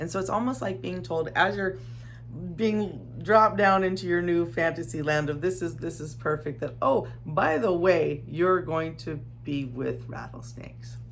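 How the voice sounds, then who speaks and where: With an American accent, a woman speaks at a moderate pace. Music plays in the background, and the room echo is audible. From Arizona desert, US Southwest. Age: 50s. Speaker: desert lifestyle vlogger. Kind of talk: unscripted personal testimony. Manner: halting, with repetitions.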